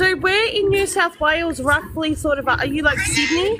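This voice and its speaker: A woman with an extremely high pitch uses a raised, projected voice at a moderate pace, with lively intonation and very even loudness. Noticeable background noise can be heard behind her. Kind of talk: casual.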